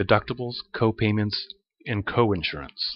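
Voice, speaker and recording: A man at a moderate pace, fairly low in pitch. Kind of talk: educational slide narration. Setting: voiceover recording.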